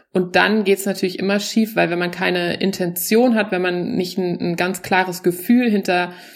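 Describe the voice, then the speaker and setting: Her pitch is medium, and the woman moves at a moderate pace. She speaks in a monotone, flat way. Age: 40s. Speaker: stand-up comedian. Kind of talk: stand-up; casual chat.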